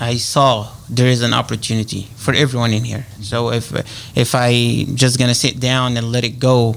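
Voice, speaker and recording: Over noticeable background noise, someone with a strong Egyptian accent speaks at a moderate pace in a monotone, flat intonation. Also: man, medium pitch for a man. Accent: heavy Egyptian Arabic. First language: Arabic. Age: 30s. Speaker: realtor. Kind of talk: radio interview. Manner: halting, many fillers.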